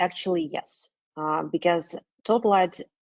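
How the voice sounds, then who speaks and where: Speaking at a moderate pace, a woman with a non-native accent has a fairly low pitch. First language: not English. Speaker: business development manager presenting a webinar. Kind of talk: webinar Q&A. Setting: online webinar. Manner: hesitant, many fillers.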